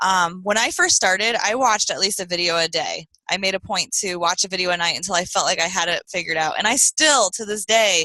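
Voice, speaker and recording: A woman speaks at a medium pitch with ordinary pitch variation and hardly any pauses. Her tone is bright and sharp, and the sound is dry and close with no echo. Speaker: direct sales team leader. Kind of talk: team training call. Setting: video call. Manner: fast when nervous; casual, filler-heavy.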